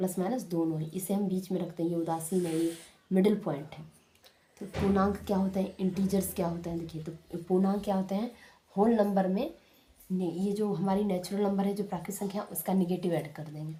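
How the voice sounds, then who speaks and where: Somewhat breathy, a woman's voice with a dark, mellow tone and fairly even intonation. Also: medium pitch for a woman, moderate pace. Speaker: maths teacher. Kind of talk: tutorial. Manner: repetitive, explanatory.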